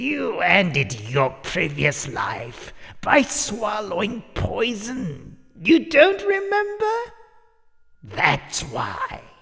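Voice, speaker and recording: Putting on a character voice, a man speaks husky and high-pitched at a very slow pace. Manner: amused, cackling.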